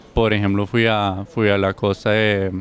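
A man speaks at a fairly slow pace with a fairly low pitch and a monotone, flat delivery. The sound is dry with no echo, over light background noise. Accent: German. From Germany. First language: German (speaking Spanish). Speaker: exchange medical student. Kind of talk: testimony. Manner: halting, with frequent self-corrections and repeated words. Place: garden. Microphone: handheld.

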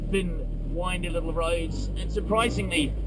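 There is loud background noise behind a man's voice. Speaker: car show host. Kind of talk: commentary. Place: car.

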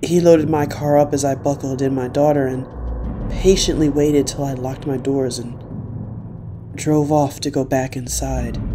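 The delivery holds a moderate pace while noticeable background noise continues throughout. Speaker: horror story narrator. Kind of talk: scripted first-person horror story narration, read aloud. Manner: hushed, tense, suspenseful.

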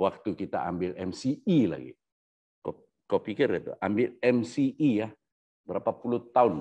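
Against a quiet background, a man talks fairly slowly with vocal fry, a dark, mellow tone and a fairly low pitch. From Sabah, Malaysia (born Sandakan); Sabah, Malaysia. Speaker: researcher on constitutional history. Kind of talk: lecture. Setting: Facebook live session. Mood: earnest, somewhat aggrieved. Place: home room. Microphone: lapel.

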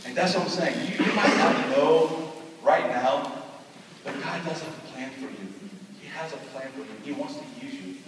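Over loud background noise and with audible room echo, a man talks at a moderate pace. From California and Dallas, Texas, Korean-American. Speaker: pastor. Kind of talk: testimony. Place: hall. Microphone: camera far.

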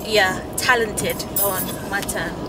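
A woman's voice in a dry sound with no echo, with noticeable background noise. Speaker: vlogger driving. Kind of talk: casual vlog chat. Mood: warm, animated praise. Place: car. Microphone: camera far.

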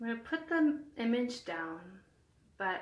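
A woman's calm, soothing tone with audible room echo. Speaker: hospital chaplain. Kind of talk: guided meditation. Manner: calm, slow, soothing; gentle, reassuring. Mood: calm, gentle, soothing. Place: home room. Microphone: phone near.

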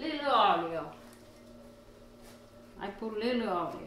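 Slow speech from a woman at a medium pitch, fairly bright in tone, with big pitch swings and strong room echo

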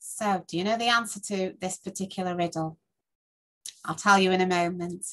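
A woman with a British accent at a moderate pace. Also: medium pitch for a woman. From England. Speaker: tutor. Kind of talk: casual talk to camera. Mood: warm, cheerful. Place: home room. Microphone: webcam.

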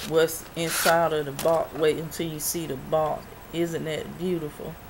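A woman's very deep, low voice at a fairly slow pace, over noticeable background noise. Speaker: YouTube freebies and review vlogger. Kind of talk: casual vlog showing products. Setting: home video. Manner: halting, filler-heavy.

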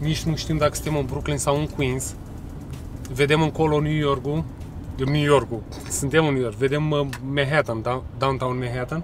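Faint music sits in the background while a man with a fairly high pitch speaks in a monotone, flat way, leaving long, frequent pauses. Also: moderate pace. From Romania. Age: 40s. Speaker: vlogger. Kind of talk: casual vlog chat. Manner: loud. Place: street. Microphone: phone near.

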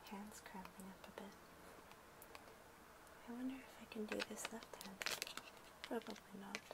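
A woman whispers at a moderate pace with long, frequent pauses. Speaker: ASMR content creator. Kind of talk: ASMR soft-spoken talk to camera. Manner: soft-spoken, quiet. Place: home room.

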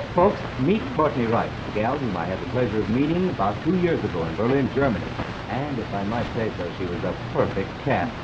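A man talks at a fairly quick pace. Loud background noise surrounds him. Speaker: TV show host. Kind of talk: scripted TV host banter. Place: studio.

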